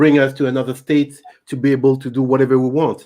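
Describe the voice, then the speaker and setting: At a moderate pace, a man with a French accent speaks in a fairly high pitch. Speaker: YouTube channel host. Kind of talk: live stream book discussion. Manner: halting.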